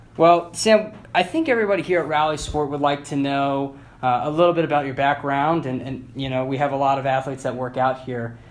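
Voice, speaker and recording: A man talks in a normal speaking voice at a fairly quick pace. His pitch is fairly high, with ordinary variation. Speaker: interviewer. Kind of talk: interview questions.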